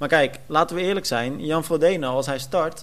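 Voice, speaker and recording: Moderate pace and ordinary pitch variation from a man with a fairly high pitch, in an ordinary speaking voice. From Netherlands, Almere. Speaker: podcast host, sports journalist. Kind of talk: casual chat.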